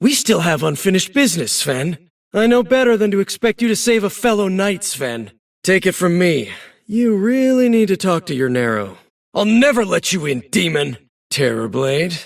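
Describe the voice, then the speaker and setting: At a moderate pace, a man performs a put-on character voice in a high pitch. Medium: video game. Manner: wry, confident.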